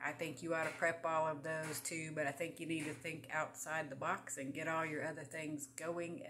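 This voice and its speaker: Over faint background music, a woman speaks with hardly any pauses in a very deep, low pitch and a monotone, flat intonation. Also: moderate pace. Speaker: home vlogger on herbs. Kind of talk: casual vlog chat. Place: home room.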